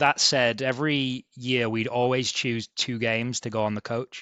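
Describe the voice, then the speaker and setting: A man with a Yorkshire accent speaks at a medium pitch in a bright, sharp tone. His intonation is monotone and flat, with a dry, close sound and no echo. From East Yorkshire, England (Hull). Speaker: sports ticket sales manager. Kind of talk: podcast interview.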